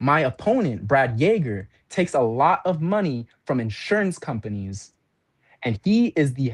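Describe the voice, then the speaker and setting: A passionate, animated voice in an American accent at a moderate pace, over a quiet background. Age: 20s. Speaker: political candidate. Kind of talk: political speech.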